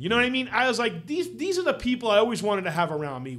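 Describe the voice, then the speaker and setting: A man speaks at a high pitch. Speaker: podcast host. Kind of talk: casual storytelling interview. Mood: warm, animated. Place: studio. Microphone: studio mic.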